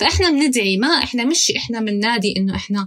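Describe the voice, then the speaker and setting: Her intonation is lively. The woman has an unremarkable speaking voice. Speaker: investigative journalist. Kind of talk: interview.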